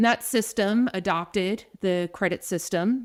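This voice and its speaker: This woman speaks with an American accent. Her pitch varies in an ordinary way. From New Jersey, US. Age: 40s. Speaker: nurse and nursing education director. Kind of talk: podcast interview. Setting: remote call.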